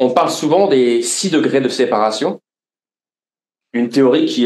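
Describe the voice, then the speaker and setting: This man speaks in a medium pitch at a moderate pace. His intonation is lively. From France, Lorraine. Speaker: podcast host and author. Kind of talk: live interview before audience. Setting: stage with audience. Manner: hesitant, many fillers.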